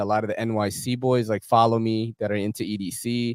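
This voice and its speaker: With a medium pitch, a man speaks. There is no echo, and the sound is dry and close. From New York City. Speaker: knife content creator, YouTuber. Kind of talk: casual chat.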